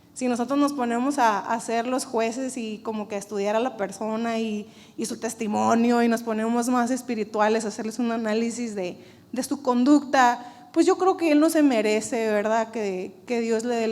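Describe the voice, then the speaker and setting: A woman speaks at a fairly high pitch. Room echo can be heard in the recording. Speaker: church preacher. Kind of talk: sermon.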